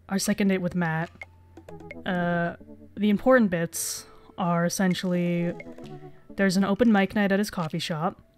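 Over music in the background, a woman speaks at a medium pitch and a moderate pace with fairly even intonation. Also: long, frequent pauses. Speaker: gaming video creator. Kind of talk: let's play commentary. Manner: pausing for breath.

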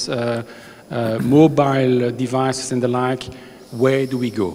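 Moderate pace over light background noise. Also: man. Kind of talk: conference introduction speech. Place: hall. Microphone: handheld.

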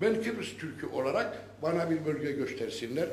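With light background noise and audible room echo, a man speaks at a moderate pace, his pitch swinging very widely. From Northern Cyprus, Lefke region; Northern Cyprus. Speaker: villager speaking from audience. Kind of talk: town hall speech. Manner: animated. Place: hall. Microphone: handheld.

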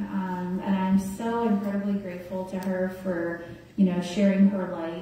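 The voice moves at a moderate pace through strong room echo. Light background noise sits underneath. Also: woman. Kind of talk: eulogy speech. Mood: tender, grateful, emotional. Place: church. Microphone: camera far.

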